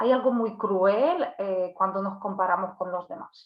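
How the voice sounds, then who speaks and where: With a Polish accent, a woman is talking. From Poland. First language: Polish (speaking Spanish). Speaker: psychologist and workshop speaker. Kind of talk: online workshop talk. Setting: live video stream. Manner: hesitant, many fillers and restarts.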